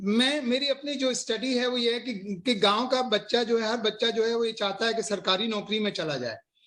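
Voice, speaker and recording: Speaking at a moderate pace with hardly any pauses, a man uses an extremely high pitch and a bright, sharp tone with fairly even intonation. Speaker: interview host. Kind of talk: interview host talk.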